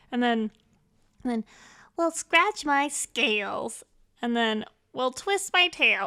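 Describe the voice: Putting on a raspy character voice, a woman speaks in a high pitch at a fairly slow pace with long, frequent pauses, recorded very cleanly against a silent background.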